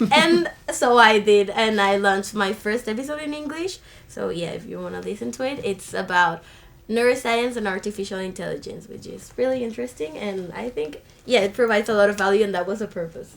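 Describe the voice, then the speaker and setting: Speaking at a fairly quick pace with a Spanish accent, the voice has lively intonation and big swings in loudness. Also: woman, medium pitch for a woman. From Colombia, Caribbean coast. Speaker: university student. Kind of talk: podcast interview. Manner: animated.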